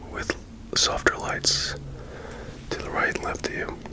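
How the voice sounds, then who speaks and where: A whispered voice at a fairly slow pace. Noticeable background noise sits behind it. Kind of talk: ASMR whisper with casual talk to camera. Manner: whispered, soft.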